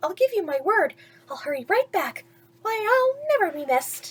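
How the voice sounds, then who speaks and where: A woman puts on a squeaky character voice at an extremely high pitch, with very wide pitch swings. She talks at a moderate pace. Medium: read story. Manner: wheedling.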